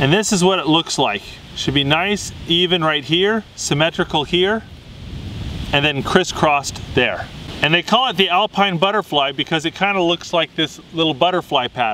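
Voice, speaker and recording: A man with a high voice speaks at a moderate pace, with ordinary pitch variation and light background noise. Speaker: knot instructor. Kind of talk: tutorial.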